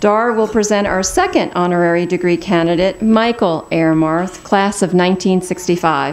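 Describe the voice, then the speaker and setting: A woman speaks in a plain, everyday voice at a medium pitch. Her intonation is fairly even and her pace fairly slow. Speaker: university president presiding over commencement. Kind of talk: formal commencement ceremony, announcing presenters and conferring degrees. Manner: formal, ceremonial, measured.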